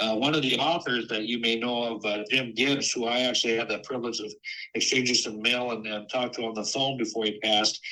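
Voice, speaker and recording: A man at a very fast pace and medium pitch, with noticeable background noise. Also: fairly even intonation. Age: 60s. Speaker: lighthouse preservation society president. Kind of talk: podcast interview. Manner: halting, many fillers.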